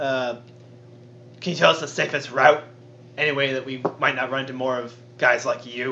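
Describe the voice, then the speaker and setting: A man uses a put-on character voice, husky and gravelly, at a medium pitch and a moderate pace. Long, frequent pauses break his speech over clear background noise. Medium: actual play. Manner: growling.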